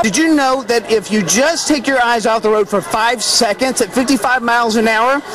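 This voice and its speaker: Upbeat and playful in tone, a man with an American accent and an extremely high pitch talks with hardly any pauses and very even loudness while crowd noise fills the background. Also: ordinary pitch variation, moderate pace. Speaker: TV show host. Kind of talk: local TV lifestyle show hosting. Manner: upbeat, playful.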